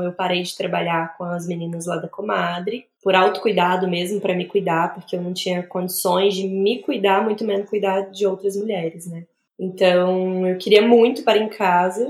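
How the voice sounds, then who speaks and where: The woman's intonation is monotone and flat. She keeps a moderate pace at a medium pitch. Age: 30s. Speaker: obstetric nurse and new mother. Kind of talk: interview testimony about her birth.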